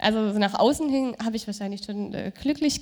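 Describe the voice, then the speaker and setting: A plain, everyday voice from a woman, fairly high in pitch, with ordinary pitch variation and a moderate pace. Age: young. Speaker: churchgoer giving testimony. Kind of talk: testimony. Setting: stage with audience.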